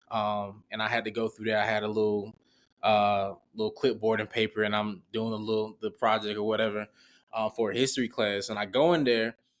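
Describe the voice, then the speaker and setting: A man with a Southern accent speaks at a fairly quick pace and fairly low pitch. His intonation is monotone and flat, on a very clean recording with a silent background. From US South, Augusta, Georgia. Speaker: former college football player, marketing professional. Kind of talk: casual interview.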